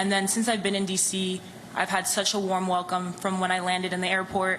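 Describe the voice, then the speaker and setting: Over noticeable background noise and audible room echo, a woman speaks at a fairly quick pace. Her medium pitch holds a monotone, flat intonation at very even loudness. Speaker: professional basketball player, draft pick. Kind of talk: press conference answers.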